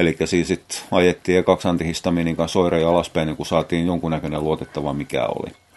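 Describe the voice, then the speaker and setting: Noticeable background noise sits behind a man with a very deep, low voice. He speaks in a flat monotone with hardly any pauses. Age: 50s. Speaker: podcaster. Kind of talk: casual monologue. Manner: halting.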